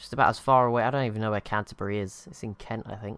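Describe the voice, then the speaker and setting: A man with an English accent talks at a very fast pace. His intonation is monotone and flat. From England, near London. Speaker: gaming youtuber. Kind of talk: live gameplay commentary. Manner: casual, halting.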